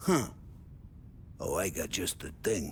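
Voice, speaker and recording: A raspy, put-on character voice from a man, with clear background noise. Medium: video game. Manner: chatty, joking.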